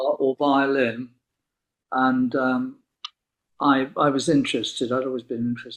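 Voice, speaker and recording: A man speaks with an English accent and monotone, flat intonation. He leaves long, frequent pauses. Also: medium pitch for a man, moderate pace. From southwest England, Plymouth. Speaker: violinist. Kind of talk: interview. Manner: halting.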